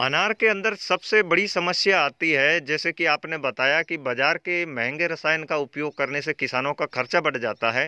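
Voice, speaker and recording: A man's fairly high voice, an unremarkable speaking voice, at a fairly slow pace with hardly any pauses, ordinary pitch variation, a quiet background and dry sound with no echo. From Rajasthan, Jodhpur district; Rajasthan, India. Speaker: farming video host. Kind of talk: field interview on a farm. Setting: outdoors in an orchard. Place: farm. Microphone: phone near.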